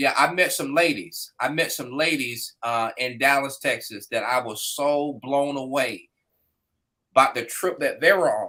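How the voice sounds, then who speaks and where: A man speaks at a fairly slow pace with an American accent. The recording is very clean, with a silent background. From US South, Florida (Fort Pierce). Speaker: business owner and motorcycle rider, former English teacher. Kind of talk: casual chat.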